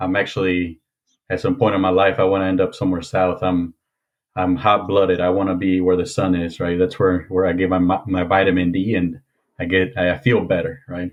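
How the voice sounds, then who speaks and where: In a Spanish accent, the speaker goes at a fairly quick pace with monotone, flat intonation. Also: man, very deep, low pitch for a man. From Mexico, moved to Indiana at 13. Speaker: former police officer. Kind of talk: podcast interview.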